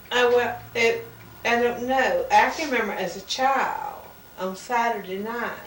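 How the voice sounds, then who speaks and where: A woman with a Southern US accent speaks at a fairly slow pace in a high pitch with ordinary pitch variation, with noticeable background noise and audible room echo. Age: 60s. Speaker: family member. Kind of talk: family conversation.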